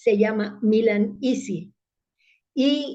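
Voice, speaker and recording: The tone is dark and mellow, with somewhat breathy delivery. Intonation stays fairly even. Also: woman. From Italy, then Mexico from childhood. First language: Italian (speaking Spanish). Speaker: public speaking club leader. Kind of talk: interview.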